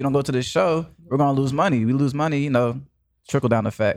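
A man talks at a very fast pace, his pitch medium with ordinary variation. The recording is very clean, the background silent. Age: 20s. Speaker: podcast host. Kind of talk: casual chat.

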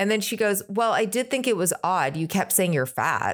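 In a very clean recording with a silent background, a woman with a plain, everyday voice talks at a moderate pace with lively intonation. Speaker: podcast co-host and producer. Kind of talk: casual chat.

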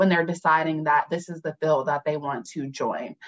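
This is a plain, everyday voice with an American accent, moving at a moderate pace. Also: woman. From North Carolina (Fayetteville). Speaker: attorney. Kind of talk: radio interview.

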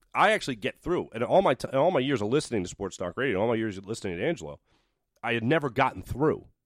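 A man speaks very fast with an American accent, his medium pitch swinging very widely. The recording is very clean, with a silent background. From Philadelphia area, Pennsylvania (Doylestown). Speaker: sports TV host. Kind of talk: casual chat. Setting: radio studio.

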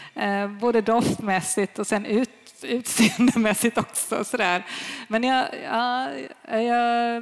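Noticeable background noise sits behind a woman with a fairly high pitch. She speaks at a very slow pace with fairly even intonation. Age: middle-aged. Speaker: sommelier. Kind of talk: live panel discussion. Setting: stage with audience.

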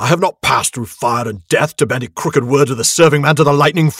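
This is a man doing a put-on character voice. His pitch sits fairly high. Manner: commanding, stern.

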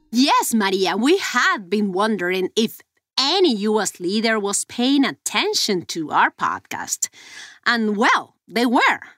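Speaking at a very slow pace with a Mexican accent, a woman has a fairly high pitch that swings very widely. Her tone is bright and sharp, with a dry, close sound and no echo. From Mexico. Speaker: investigative journalist. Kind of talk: investigative podcast conversation.

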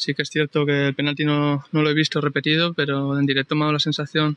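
Noticeable background noise lies behind a man's fairly high-pitched voice. He speaks at a fairly quick pace in a monotone, flat intonation. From Colombia. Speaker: footballer. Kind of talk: post-match interview. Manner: halting.

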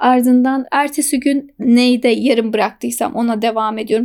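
Here a woman talks at high pitch with a dark, mellow tone. Her pitch variation is ordinary. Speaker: frontend software engineer. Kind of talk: casual interview.

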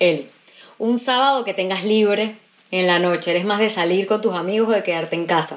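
A woman speaks at a fairly quick pace in an ordinary speaking voice, her medium pitch rising and falling with ordinary variation. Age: 20s. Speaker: radio host. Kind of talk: casual chat.

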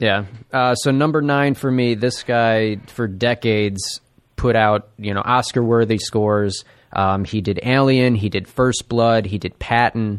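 A man with a normal speaking voice talks at a fairly slow pace, medium in pitch and fairly even in intonation. The recording is very clean, with a silent background. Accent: American. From Buffalo, New York, then US Midwest. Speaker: comedy network tech worker. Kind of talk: casual chat. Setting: studio.

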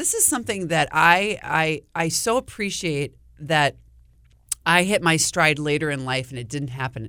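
Speaking with an Upper Midwest accent, a woman has a very deep, low pitch and a bright, sharp tone. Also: very clean recording, silent background. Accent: Upper Midwest American. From Wisconsin, US. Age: 50s. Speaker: TV meteorologist. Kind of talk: casual chat.

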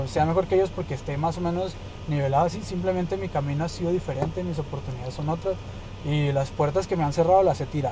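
There is noticeable background noise. A man with a fairly high pitch talks at a very fast pace with lively intonation. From Chihuahua, northern Mexico. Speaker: singer-songwriter. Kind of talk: casual chat. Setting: in a car.

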